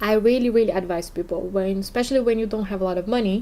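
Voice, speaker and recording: A woman with a non-native accent speaks at a medium pitch in a dark, mellow tone with fairly even intonation. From Brazil. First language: Portuguese. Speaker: podcast host and English teacher. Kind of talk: casual podcast monologue.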